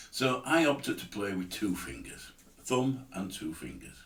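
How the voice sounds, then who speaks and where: At a moderate pace, the voice shows vocal fry and very wide pitch swings, with audible room echo around it. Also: man. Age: 70s. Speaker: amateur guitarist. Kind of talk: tutorial. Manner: casual, hesitant.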